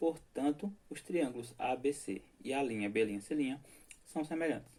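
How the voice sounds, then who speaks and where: Using a dark, mellow tone, a man speaks at a moderate speed, and his pitch varies in an ordinary way. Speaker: math teacher. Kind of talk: lecture.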